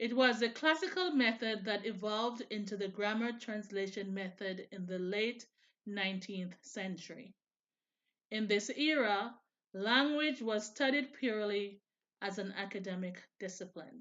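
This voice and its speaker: A woman's ordinary speaking voice, fairly high-pitched, with ordinary pitch variation and a fairly slow pace. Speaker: student presenter. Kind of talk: class presentation.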